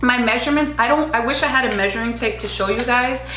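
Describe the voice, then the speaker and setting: There is noticeable background noise and audible room echo around this woman's voice. She speaks with a fairly high pitch and ordinary pitch variation. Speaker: beauty and lifestyle vlogger. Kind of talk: casual vlog talk to camera. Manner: chatty with frequent fillers.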